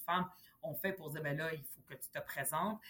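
A woman's fairly low voice at a fairly quick pace, fairly even in intonation, over noticeable background noise. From Quebec, Montreal (arrived age 10 from Lebanon). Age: 40s. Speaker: politician. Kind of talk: interview.

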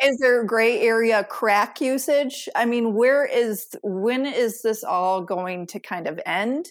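On a very clean recording with a silent background, a woman with a fairly high pitch and ordinary pitch variation speaks at a very slow pace with hardly any pauses. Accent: American. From US Midwest, suburbs of Detroit, Michigan. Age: 30s. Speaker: podcast host and sober coach. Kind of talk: casual interview chat.

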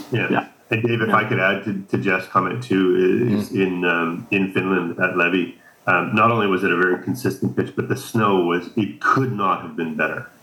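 Fairly low male voice with ordinary pitch variation, at a moderate pace. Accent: Canadian Prairies. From Canada, Saskatchewan. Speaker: ski instructor, association co-founder. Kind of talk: interview.

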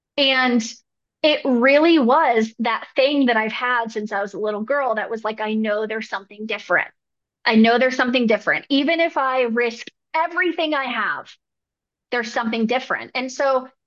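A high-pitched woman with an American accent, at a moderate pace with ordinary pitch variation. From Northern California. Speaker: depth therapist. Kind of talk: interview.

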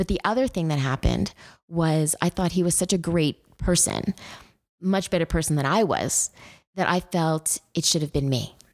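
At a moderate pace with ordinary pitch variation, this voice comes through in a very clean recording with a silent background. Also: woman. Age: 50s. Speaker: memoir author. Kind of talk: interview.

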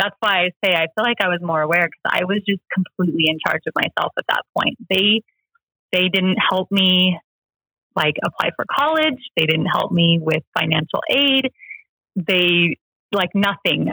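In an American accent, a woman with an ordinary speaking voice talks at a moderate pace and medium pitch, with ordinary pitch variation and very even loudness. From US, rural Washington state. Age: 30s. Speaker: church member sharing her story. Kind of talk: personal interview, testimony.

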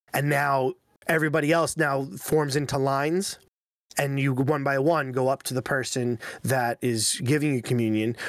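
Fairly even intonation and a moderate pace from a normal speaking voice, very cleanly recorded with a silent background. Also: man, fairly high pitch for a man. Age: 30s. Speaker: podcast co-host. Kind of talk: casual chat.

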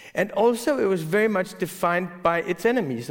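In a Danish accent, a man talks with lively intonation. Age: 40s. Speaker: newspaper editor. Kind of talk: onstage interview. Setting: stage with audience.

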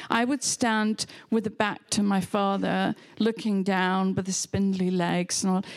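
A woman with a German accent. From Germany (near Hamburg). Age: old. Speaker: photographer. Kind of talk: public conversation. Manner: halting.

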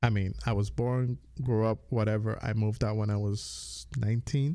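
On a very clean recording with a silent background, a man with an American accent speaks at a moderate pace in a fairly low pitch, his dark, mellow tone showing little pitch movement.

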